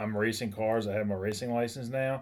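At a moderate pace, a man speaks in a normal speaking voice at a medium pitch with fairly even intonation. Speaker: attorney. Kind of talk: casual chat. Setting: studio office.

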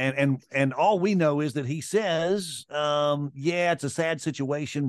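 Southern US accent with ordinary pitch variation over a quiet background. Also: man. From Mississippi, US South. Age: 60s. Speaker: sports radio host. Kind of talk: casual chat.

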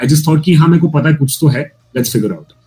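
A man with an Indian accent speaks at a very fast pace and a fairly high pitch. His tone is dark and mellow, and somewhat breathy. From Bangalore, India. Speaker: storyteller, writer and poet. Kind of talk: casual interview chat.

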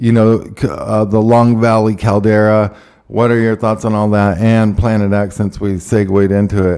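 Here a man speaks with a fairly low pitch and a dark, mellow tone. His intonation is monotone and flat, and his pace moderate. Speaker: podcast host. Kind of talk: casual panel chat. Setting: live show.

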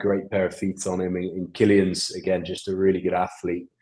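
A man speaks with an English accent at a very deep, low pitch. His intonation is monotone and flat. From England. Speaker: rugby assistant coach. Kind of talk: casual interview.

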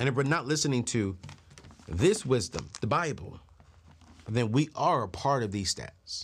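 A man talks at a moderate pace in a somewhat breathy, animated tone with very wide pitch swings. Long, frequent pauses run through his speech. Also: medium pitch for a man. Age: 30s. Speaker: personal finance show host. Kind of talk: financial advice talk to camera.

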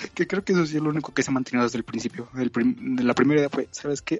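Someone with a Mexican accent talks at a very fast pace over noticeable background noise. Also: man. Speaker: podcast co-host, historian. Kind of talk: casual chat.

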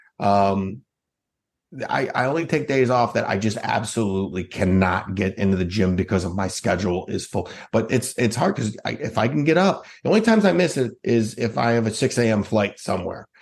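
A man speaks at a fairly quick pace and medium pitch, with lively intonation. The recording is very clean, with a silent background. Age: 40s. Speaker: motivational speaker and author. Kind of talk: casual interview. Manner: halting, frequent repetitions.

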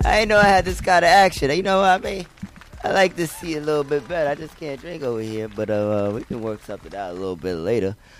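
Talking at a very fast pace with noticeable background noise behind him, a man uses an animated tone, a fairly high pitch, very wide pitch swings and big swings in loudness. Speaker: hip hop radio host. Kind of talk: casual chat. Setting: studio with camera. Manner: animated, repetitive.

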